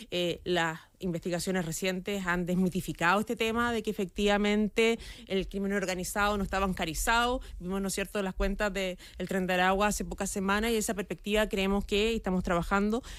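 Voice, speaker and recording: Speaking at a fairly quick pace, a woman uses a medium pitch in a very clean recording with a silent background. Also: fairly even intonation. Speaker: government minister. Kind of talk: radio interview. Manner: fast.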